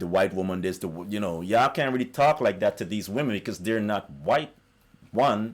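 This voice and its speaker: A man with a fairly low voice talks at a moderate pace. His tone is animated and his intonation lively. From South America. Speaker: YouTuber. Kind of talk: monologue rant.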